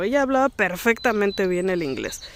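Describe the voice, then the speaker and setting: A woman speaks in a Mexican accent over noticeable background noise. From Mexico. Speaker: vlogger. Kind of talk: casual vlog talk. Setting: outdoors in a park. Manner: animated.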